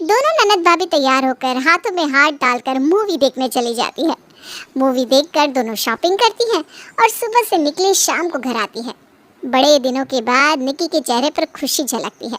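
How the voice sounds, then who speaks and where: Doing a cartoonish character voice, a woman speaks high with very wide pitch swings at a moderate pace, in a dry, close sound with no echo. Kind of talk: moral story narration.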